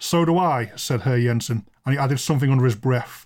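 Recorded very cleanly against a silent background, a man with a plain, everyday voice talks at a fairly quick pace, medium in pitch with ordinary variation. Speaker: podcast host and storyteller. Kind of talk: ghost story reading aloud, dramatic narration with character dialogue.

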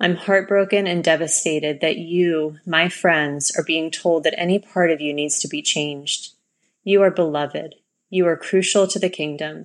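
A woman's plain, everyday voice, fairly low in pitch, at a moderate pace with fairly even intonation. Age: 30s. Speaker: minister. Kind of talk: testimony.

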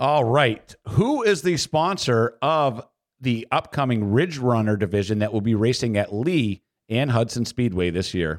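A man with a plain, everyday voice at a medium pitch, a fairly slow pace and very even loudness, on a very clean recording with a silent background. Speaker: podcast host and track announcer. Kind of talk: casual chat.

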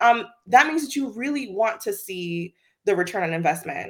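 A woman with a slight Virgin Islands accent, at a moderate pace with lively intonation, in a very clean recording with a silent background. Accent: slight Caribbean (Virgin Islands). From US Virgin Islands. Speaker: diversity and inclusion executive. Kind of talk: interview conversation. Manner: laughs often.

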